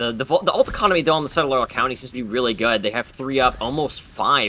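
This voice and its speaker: Noticeable background noise runs under this recording. A man talks very fast at a medium pitch. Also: ordinary pitch variation. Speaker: esports caster. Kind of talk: live commentary. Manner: stuttering.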